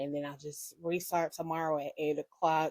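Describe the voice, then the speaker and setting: A woman's fairly low voice with a dark, mellow tone at a moderate pace, dry and close with no echo. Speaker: YouTuber reacting to a TV show. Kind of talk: casual vlog outro.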